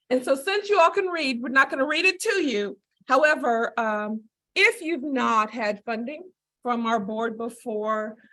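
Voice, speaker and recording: A woman projects her raised voice at a high pitch, moving at a fairly slow pace with very wide pitch swings. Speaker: public agency leader. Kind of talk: public presentation. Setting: meeting room with audience and video call. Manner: loud.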